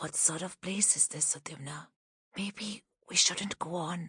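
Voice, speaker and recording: In a whispered, put-on character voice, the speaker keeps a moderate pace. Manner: whispering, shrill.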